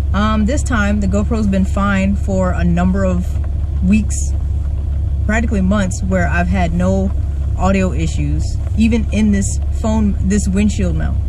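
A man with a very deep, low pitch speaks with long, frequent pauses, very even loudness and fairly even intonation, in a dry sound with no echo over noticeable background noise. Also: fairly slow pace. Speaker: car reviewer. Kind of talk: casual vlog chat. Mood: frustrated, annoyed. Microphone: camera far.

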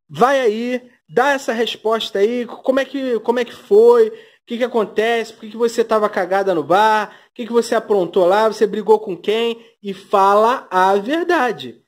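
The loudness swings widely throughout. The recording is very clean, with a silent background. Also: man, high pitch for a man, ordinary pitch variation, moderate pace. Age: 30s. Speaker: YouTuber. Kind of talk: gossip commentary vlog. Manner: sarcastic, full of fillers.

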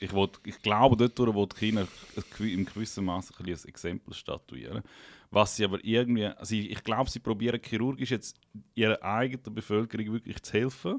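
Against a quiet background, a man with an ordinary speaking voice talks at a fairly low pitch with fairly even intonation. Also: fairly quick pace. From Liechtenstein. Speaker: podcast host. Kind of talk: casual chat. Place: studio. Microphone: studio mic.

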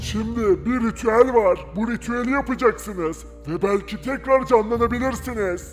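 A put-on character voice moves at a moderate pace with a fairly high pitch and hardly any pauses. Music is clearly heard in the background. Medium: machinima. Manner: gruff, rustic.

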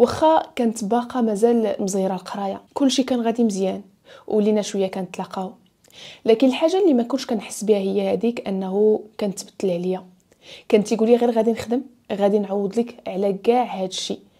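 Speaking at a fairly quick pace, a woman with a fairly high pitch and a dark, mellow tone uses ordinary pitch variation against a quiet background. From Morocco. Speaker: storytelling YouTuber. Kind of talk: storytelling narration; advice monologue. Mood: earnest, emotional story. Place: home room. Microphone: lapel.

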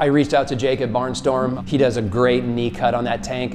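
Faint music plays in the background as a man talks very fast with fairly even intonation. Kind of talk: interview answer. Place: studio.

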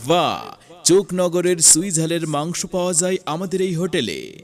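Music in the background beneath a man's voice, high in pitch. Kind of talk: loudspeaker advertising announcement.

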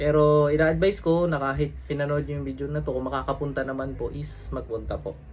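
A man talking very fast, with hardly any pauses. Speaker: faith healer. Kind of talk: fervent deliverance prayer, commanding and declaratory, invoking divine names. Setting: online video recording. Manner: intense, forceful, rapid-fire incantation; casual, conversational, chatty when explaining.

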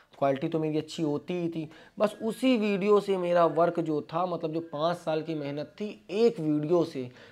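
A man talks at a high pitch with ordinary pitch variation. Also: moderate pace. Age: 20s. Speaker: vlogger, interior panel businessman. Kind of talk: motivational talk to camera. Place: office. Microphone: lapel.

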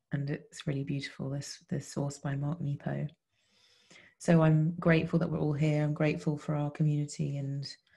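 A woman talks at a moderate pace in a very deep, low pitch with a dark, mellow tone and a somewhat breathy quality. Her intonation is monotone and flat, and the background is quiet. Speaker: podcast co-host. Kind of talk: reflective conversation. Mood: warm, grateful, reflective. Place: home room. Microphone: video call.

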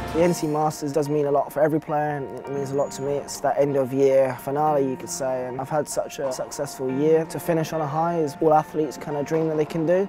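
A very fast man's voice, fairly high-pitched with fairly even intonation, dry with no echo, over clear music in the background. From Britain. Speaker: wheelchair tennis player. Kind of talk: interview answer. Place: hall. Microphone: lapel.

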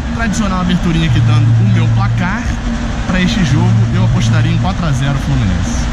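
Loud background noise under a male voice with ordinary pitch variation. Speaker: football fan vlogger. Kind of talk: casual vlog chat. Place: stadium. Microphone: phone near.

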